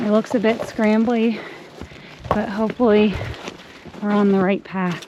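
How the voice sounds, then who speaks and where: Moderate-paced talk from a woman with a fairly high voice, noticeable noise behind her. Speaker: hiking vlogger. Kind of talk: casual vlog narration. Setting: outdoors on a hiking trail.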